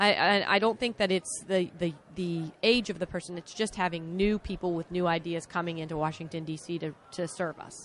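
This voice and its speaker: Using a normal speaking voice, a woman talks at a moderate pace in a fairly low pitch, with fairly even intonation and hardly any pauses. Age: 40s. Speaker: political candidate. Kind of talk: interview.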